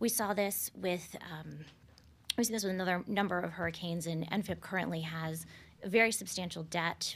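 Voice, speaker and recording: A woman with an American accent, medium pitch, vocal fry, fairly even intonation and a fairly quick pace, on a very clean recording with a silent background. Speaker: attorney panelist. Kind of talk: panel discussion.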